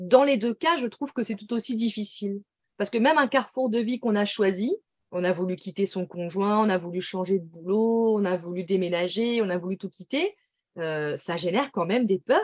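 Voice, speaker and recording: A woman speaks at a moderate pace and medium pitch, in an unremarkable speaking voice with ordinary pitch variation. The sound is dry and close, with no echo. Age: 30s. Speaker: medium and intuitive coach. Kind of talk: casual interview.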